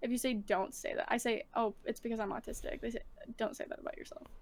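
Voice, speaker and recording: A loud voice racing along at a very fast pace with lively intonation. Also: woman. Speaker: streamer and musician. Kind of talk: casual interview chat. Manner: loud online.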